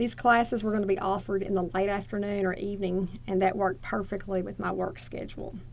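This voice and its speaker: A woman with a Southern US accent and a medium pitch. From Northeast Arkansas, USA. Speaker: associate dean for nursing. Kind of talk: oral history interview answer.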